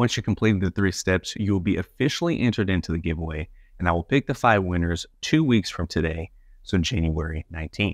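The pitch moves in an ordinary way at a fairly quick pace. The sound is dry with no echo over a quiet background. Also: man, very deep, low pitch for a man. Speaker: channel host. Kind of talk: casual vlog chat. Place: home room. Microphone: lapel.

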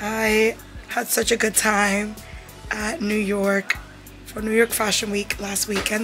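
Faint music sits in the background. The voice belongs to a woman. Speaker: vlogger. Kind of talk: casual vlog chat. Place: home room. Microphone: phone near.

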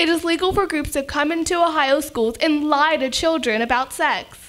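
A woman's high-pitched voice at a fairly quick pace. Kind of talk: prepared speech. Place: meeting room. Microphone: podium.

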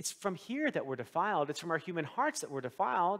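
The man's tone is bright and sharp. Behind him the background stays quiet. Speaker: pastor. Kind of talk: sermon. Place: church.

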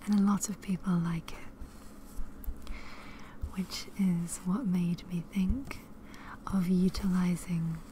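Soft-spoken and gentle in tone, the voice moves at a very slow pace in a dry sound with no echo and light background noise. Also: woman. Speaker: ASMR creator, cross stitcher and crocheter. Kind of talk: ASMR soft-spoken talk to camera. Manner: soft-spoken, gentle. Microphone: studio mic.

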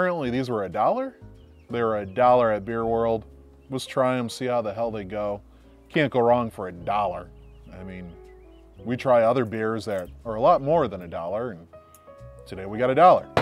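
A man speaks at a fairly quick pace with ordinary pitch variation and big swings in loudness. The sound is dry with no echo, and faint music plays in the background. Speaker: beer reviewer. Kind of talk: casual vlog chat. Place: garden. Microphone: lapel.

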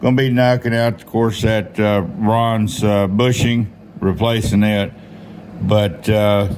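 Over light background noise, a man with a fairly low pitch speaks at a very slow pace with fairly even intonation. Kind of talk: casual workshop tutorial. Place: workshop. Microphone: phone near.

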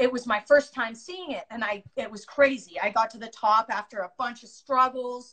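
With a quiet background behind her, a woman talks at a moderate pace with ordinary pitch variation. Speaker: guest. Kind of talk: casual storytelling chat. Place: home room. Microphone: phone near.

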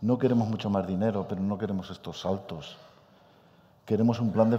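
Very fast and fairly even in intonation, a man speaks at a fairly low pitch with a dark, mellow tone. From Spain. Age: 60s. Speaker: supercomputing scientist; speaker. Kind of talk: panel debate. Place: hall.

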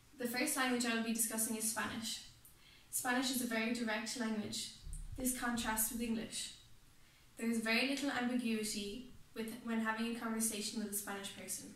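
An Irish-accented woman with a fairly high pitch, monotone, flat intonation and a fairly quick pace, plus audible room echo. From Ireland. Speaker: student presenter. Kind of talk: class presentation. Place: meeting room. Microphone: camera far.

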